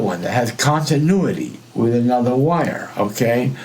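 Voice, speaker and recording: A man speaks at a fairly slow pace with lively intonation, his voice carrying audible room echo over noticeable background noise. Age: 60s. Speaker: electronics hobbyist. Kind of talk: tutorial. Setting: live stream. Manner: halting.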